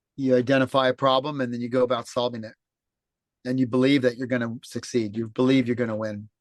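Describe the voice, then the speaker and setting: A man with an American accent talks at a very fast pace. His medium-pitched voice has monotone, flat intonation. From Los Angeles, California. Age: 60s. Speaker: former home builder turned sailing charter skipper. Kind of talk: interview, telling his life story. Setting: video call from a boat at sea.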